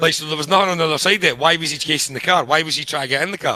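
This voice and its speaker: A fairly high-pitched man with a Scottish accent, a bright, sharp, animated tone, ordinary pitch variation, and a very fast pace. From Scotland. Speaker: podcast co-host reviewing screenplays. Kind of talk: casual chat.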